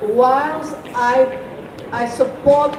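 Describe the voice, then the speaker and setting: A woman's high-pitched voice with fairly even intonation, audible room echo and noticeable background noise. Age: 70s. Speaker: medical doctor and public health specialist. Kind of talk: panel discussion.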